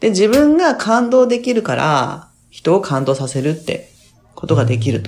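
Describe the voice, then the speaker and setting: At a fairly slow pace, the voice moves through very wide pitch swings. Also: woman, fairly low pitch for a woman. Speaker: midwife and life coach. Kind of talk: casual interview chat.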